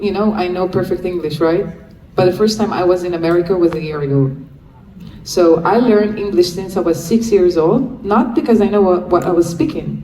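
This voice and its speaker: With noticeable background noise and audible room echo, a woman speaks at a medium pitch and a moderate pace, with ordinary pitch variation. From Israel. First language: Hebrew. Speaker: freed hostage and advocate. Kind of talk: Q&A talk.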